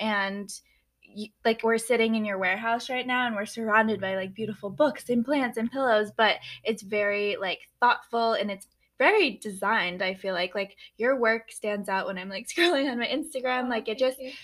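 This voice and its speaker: On a very clean recording with a silent background, a woman with a plain, everyday voice talks at a moderate pace, her pitch fairly high with ordinary variation. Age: 20s. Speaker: podcast host. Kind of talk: casual interview. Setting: in person in a warehouse.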